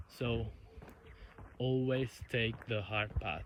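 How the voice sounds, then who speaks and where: Somewhat breathy, a man at medium pitch speaks at a very slow pace. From Italy. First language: Italian. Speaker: YouTuber. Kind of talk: unscripted monologue vlog. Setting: outdoors walking in countryside. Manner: halting, self-correcting.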